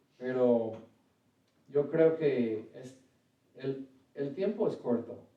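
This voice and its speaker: In an English accent, a man with a medium-pitched voice speaks at a very slow pace with long, frequent pauses, ordinary pitch variation and big swings in loudness, and there is audible room echo. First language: English (speaking Spanish). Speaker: preacher. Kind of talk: sermon; prayer. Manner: halting, self-correcting.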